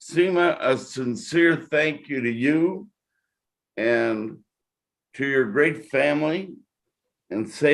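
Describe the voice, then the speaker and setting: A man talking at a very slow pace. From New Mexico, Albuquerque area. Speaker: podcast host. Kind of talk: interview.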